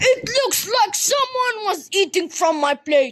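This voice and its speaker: Someone shouts in a put-on character voice at an extremely high pitch. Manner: shouting.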